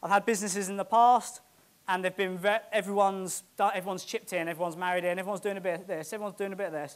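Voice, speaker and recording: A man with a British accent speaks at a very fast pace in a high voice. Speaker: property investor. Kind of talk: motivational talk. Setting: stage with audience. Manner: animated.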